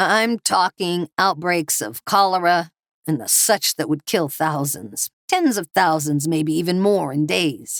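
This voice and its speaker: A raspy, put-on character voice uses lively intonation at a fairly slow pace. The sound is dry and close, with no echo. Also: woman, fairly low pitch for a woman. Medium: read story. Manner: gruff, plainspoken.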